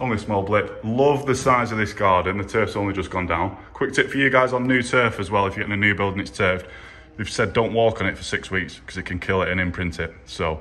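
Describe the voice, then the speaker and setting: A man talks at a very fast pace. His pitch is fairly low, with ordinary variation. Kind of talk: casual vlog chat. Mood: happy, upbeat. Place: home room. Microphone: phone near.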